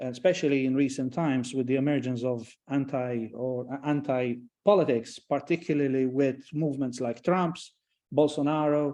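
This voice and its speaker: A man with a Maltese accent talks at a moderate pace. His pitch is medium and his intonation fairly even. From Malta. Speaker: professor. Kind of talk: lecture. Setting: online event. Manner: halting, many repetitions and fillers.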